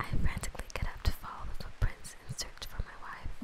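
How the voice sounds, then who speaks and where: A woman whispers over noticeable background noise. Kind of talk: slow horror story reading. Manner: soft-spoken, whispery.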